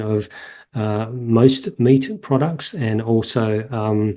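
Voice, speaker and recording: Against a quiet background, a man with an Australian accent speaks at medium pitch in a dark, mellow tone with fairly even intonation. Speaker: veterinarian and animal welfare professor. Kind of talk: interview answer.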